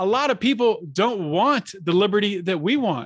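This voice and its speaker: Lively intonation marks this high-pitched man with an American accent. He speaks at a fairly slow pace over a quiet background. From Pittsburgh area, Pennsylvania. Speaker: libertarian podcaster. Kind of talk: casual interview chat.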